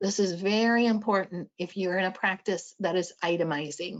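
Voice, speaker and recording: This is a plain, everyday voice. It keeps a moderate pace with ordinary pitch variation. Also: woman. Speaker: audiology practice management presenter. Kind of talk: lecture. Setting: webinar.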